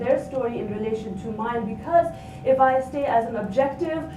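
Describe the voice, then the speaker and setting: A woman speaks at a moderate pace. Room echo is audible, along with noticeable background noise. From Nepal. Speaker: academic researcher. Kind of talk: conference panel presentation. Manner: halting, many fillers.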